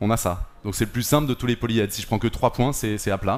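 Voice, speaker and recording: A fairly quick pace from a man. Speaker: math workshop animator. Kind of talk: interactive demonstration. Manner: soft-spoken; casual, conversational.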